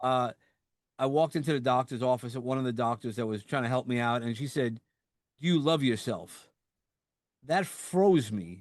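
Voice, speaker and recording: Against a quiet background, a man with a New York accent and a medium pitch talks at a moderate pace with ordinary pitch variation and long, frequent pauses. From New York, Brooklyn (Sheepshead Bay). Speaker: podcast host. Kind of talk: casual interview chat.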